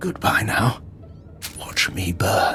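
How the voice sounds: A man's put-on character voice, slow and low-pitched with big pitch swings, a bright, sharp tone and vocal fry, over faint music in the background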